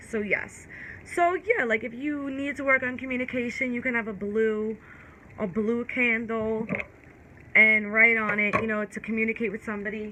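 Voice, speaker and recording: A woman speaks with an American accent at a fairly high pitch. Her pace is moderate and her pitch variation ordinary. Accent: New York accent, strong at times. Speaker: tarot reader. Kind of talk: casual tarot reading and candle magic talk. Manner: casual, stumbling over words.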